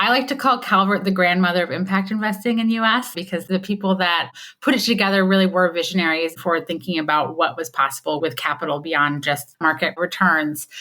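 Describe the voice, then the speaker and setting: Bright and sharp in tone, a woman with a slight Michigan accent speaks at a medium pitch, fairly quickly, with lively intonation and hardly any pauses. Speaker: impact investment CEO. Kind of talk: podcast interview. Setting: remote call.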